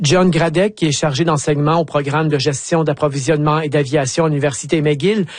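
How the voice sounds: This man talks at a fairly quick pace with a fairly high pitch and fairly even intonation.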